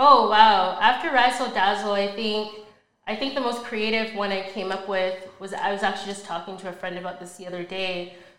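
A woman's medium-pitched voice at a fairly quick pace, fairly even in intonation, with big swings in loudness and audible room echo. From Ontario, Canada (Mississauga/Brampton). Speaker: podcast host, insurance and motivational speaker. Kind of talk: casual interview chat.

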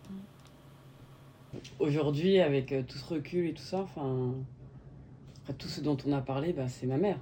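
Somewhat breathy and very deep, low in pitch, a woman speaks at a very slow pace with big swings in loudness, and audible room echo surrounds her voice. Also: ordinary pitch variation. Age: 40s. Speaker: daughter of a Cambodian refugee. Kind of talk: interview conversation.

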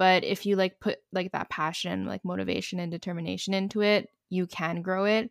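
On a very clean recording with a silent background and a dry, close sound free of echo, a woman speaks at medium pitch with monotone, flat intonation. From Montreal, Canada. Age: 20s. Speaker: YouTuber and student. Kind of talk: casual chat.

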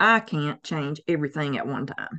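A woman talks with a Southern US accent. She keeps a fairly slow pace. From US South. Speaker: herbalist. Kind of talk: interview.

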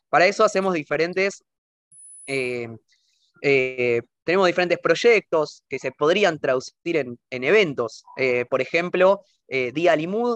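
With a dry, close sound and no echo, a man speaks at a fairly slow pace with lively intonation. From Argentina. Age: 20s. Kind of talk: interview. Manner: halting, many fillers.

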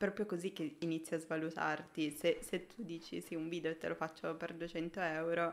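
Monotone, flat delivery from a woman with a fairly low pitch, moderately paced. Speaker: junior motion designer. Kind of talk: casual chat. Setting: live stream. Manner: shy.

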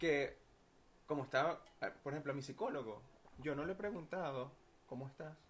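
Speaking with a Venezuelan accent, a man talks at a fairly quick pace and fairly high pitch, somewhat breathy, with ordinary pitch variation and long, frequent pauses. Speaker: podcast guest. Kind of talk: casual chat.

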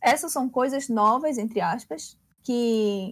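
A woman speaks with a Pernambuco accent at a very slow pace. Her pitch is fairly high, with music in the background. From Recife, Pernambuco. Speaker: tournament organizer and judge. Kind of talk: casual chat.

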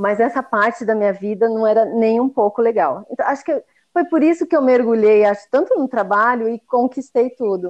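A woman with a normal speaking voice talks at a fairly high pitch with lively intonation. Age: 40s. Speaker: chef and sweets business owner. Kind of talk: casual interview chat. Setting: remote recording in separate rooms.

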